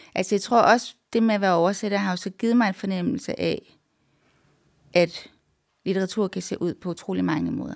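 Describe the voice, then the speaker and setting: A woman talks at medium pitch and a moderate pace with vocal fry. Her pitch varies in an ordinary way, and she takes long, frequent pauses. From Denmark, Randers (East Jutland). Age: 40s. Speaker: literary translator. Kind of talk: interview.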